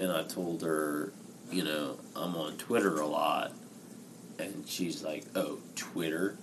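A man speaking very slowly, with audible room echo. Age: 20s. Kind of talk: casual chat.

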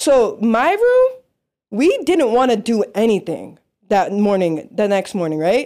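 A woman speaks with an American accent and a dark, mellow tone. Her pitch swings very widely. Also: very clean recording, silent background. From Las Vegas, Nevada. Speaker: sports photographer. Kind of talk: casual chat.

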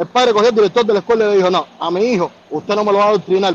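A man talks very fast in a high voice, his intonation fairly even. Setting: phone call.

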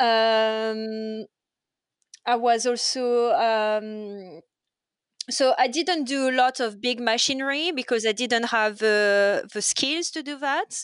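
Against a quiet background, a woman with a French accent speaks at a very slow pace, her fairly high pitch showing ordinary variation. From France. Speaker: waitress. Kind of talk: casual chat. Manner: halting.

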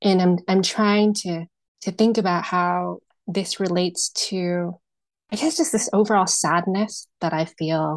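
Speech moves at a fairly slow pace with ordinary pitch variation over a quiet background. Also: woman, medium pitch for a woman. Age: 30s. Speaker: reading client. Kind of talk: personal consultation. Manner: halting.

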